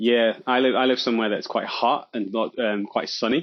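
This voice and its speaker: This is a man speaking. He has an English accent. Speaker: hobby podcaster. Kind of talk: casual chat.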